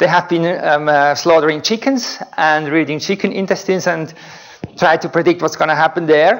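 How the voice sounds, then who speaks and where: A man's fairly high voice with ordinary pitch variation at a moderate pace, against noticeable background noise. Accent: Swiss German. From Switzerland. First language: German. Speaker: researcher. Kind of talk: lecture.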